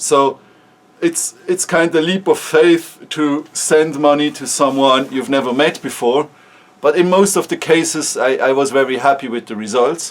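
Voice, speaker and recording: At a moderate pace, a man with a Swiss German accent and a fairly high pitch speaks with ordinary pitch variation. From Switzerland (German-speaking). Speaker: startup founder. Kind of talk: casual vlog talk. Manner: halting, with repeated words.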